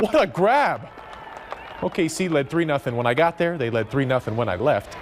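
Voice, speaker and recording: Crowd noise fills the background as a man speaks at a moderate pace. His fairly high voice has lively intonation. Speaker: sports anchor and reporter. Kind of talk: sports highlight narration. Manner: playful, energetic.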